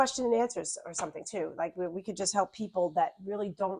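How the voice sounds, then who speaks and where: At a fairly quick pace, a woman with a Long Island accent speaks at medium pitch in a dry, close sound with no echo. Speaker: YouTube channel host, wellness instructor. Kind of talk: casual interview chat. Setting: studio lounge.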